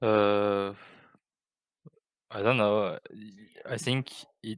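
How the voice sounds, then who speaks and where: Very slowly, a man speaks with a non-native accent and a fairly low pitch. His intonation is fairly even, and the sound is dry and close with no echo. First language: not English. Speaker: esports coach. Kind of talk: interview. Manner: halting.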